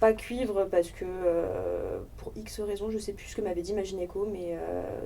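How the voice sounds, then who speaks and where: The speech moves at a very slow pace, with big swings in loudness. Noticeable background noise runs underneath. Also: woman. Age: 20s. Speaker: sex education project member. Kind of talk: casual discussion.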